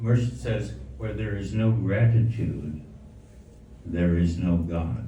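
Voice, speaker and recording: A man with a very deep, low pitch speaks very slowly, with long, frequent pauses and very wide pitch swings. Audible room echo and noticeable background noise are present. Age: 80s+. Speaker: Sufi spiritual teacher. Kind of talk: spiritual talk. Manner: halting.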